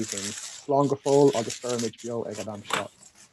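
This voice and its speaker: In a Liverpool accent, a man speaks at medium pitch with ordinary pitch variation, the sound dry and close with no echo. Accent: Liverpool (Scouse). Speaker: arts project manager. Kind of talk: prepared speech.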